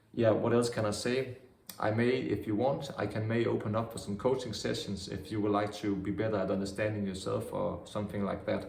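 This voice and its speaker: A man's fairly low voice at a fairly quick pace, with noticeable background noise and audible room echo. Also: fairly even intonation. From Denmark, Vejle. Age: 20s. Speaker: vlogger. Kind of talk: casual monologue.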